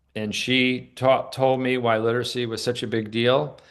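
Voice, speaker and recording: With an American accent, a man speaks at a moderate pace with fairly even intonation. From New York. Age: 60s. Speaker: literacy advocate and filmmaker. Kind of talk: interview. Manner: halting, many repetitions.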